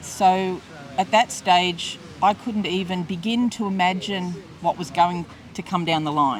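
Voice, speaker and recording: Against noticeable background noise, a woman with an Australian accent speaks at a fairly slow pace in a medium pitch, with ordinary pitch variation. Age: 60s. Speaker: interviewee, former hospitality worker. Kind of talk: interview testimony. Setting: outdoor market. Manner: hesitant, with fillers and repetitions.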